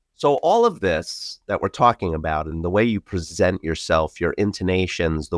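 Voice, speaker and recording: A man with a New York accent talks at a fairly slow pace in a very deep, low voice with ordinary pitch variation. The sound is dry and close with no echo, over a quiet background. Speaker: podcast host, IT company co-founder. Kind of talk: interview conversation. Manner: talkative.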